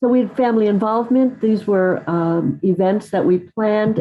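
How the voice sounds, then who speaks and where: A woman talks in a normal speaking voice at a medium pitch. Her pace is moderate and her pitch varies in an ordinary way. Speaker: literacy professor. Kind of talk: lecture.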